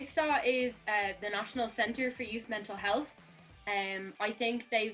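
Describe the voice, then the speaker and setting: Speaking with a Dublin accent, a woman has a fairly high pitch and fairly even intonation. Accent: Irish (Dublin). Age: 20s. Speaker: youth mental health advocate. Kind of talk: casual interview. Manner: hesitant with frequent fillers.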